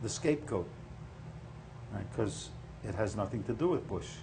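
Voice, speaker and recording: Audible room echo surrounds a man whose medium-pitched voice is somewhat breathy. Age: 70s. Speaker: political candidate. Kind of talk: interview. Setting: studio.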